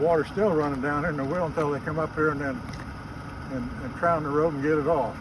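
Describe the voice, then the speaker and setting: A man with an American accent and a fairly high pitch talks at a very fast pace with fairly even intonation, amid noticeable background noise and audible room echo. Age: 70s. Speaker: volunteer road maintainer. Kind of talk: casual on-site interview. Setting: outdoors on a forest road.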